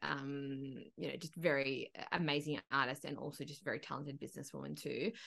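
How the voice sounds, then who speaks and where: Speaking at a fairly quick pace, a woman with an Australian accent has a bright, sharp tone. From Broken Hill, outback New South Wales, Australia. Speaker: country singer and agency owner. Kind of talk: casual chat. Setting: video call.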